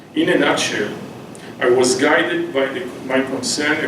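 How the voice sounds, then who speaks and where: Speech with a non-native accent and ordinary pitch variation, plus audible room echo and noticeable background noise. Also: man. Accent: foreign accent in English. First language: Hebrew. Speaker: anthropology professor. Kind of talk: lecture. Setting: public library talk with audience. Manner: halting, many fillers.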